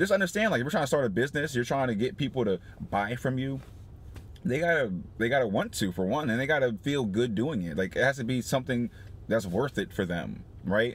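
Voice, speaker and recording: A man talking at a very fast pace, dry sound with no echo. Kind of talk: casual vlog chat. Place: car. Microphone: phone near.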